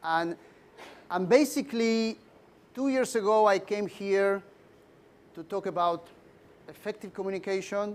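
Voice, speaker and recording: The speaker has a Spanish accent and talks at a fairly slow pace with long, frequent pauses and ordinary pitch variation. The recording is very clean, with a silent background. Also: man, high pitch for a man. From Argentina. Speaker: leadership trainer. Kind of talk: lecture. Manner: halting.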